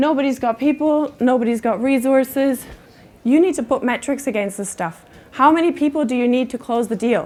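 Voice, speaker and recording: With a German accent, a woman talks at a moderate pace and a high pitch. Her pitch variation is ordinary. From Germany. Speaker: conference speaker, sales enablement leader. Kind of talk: conference talk.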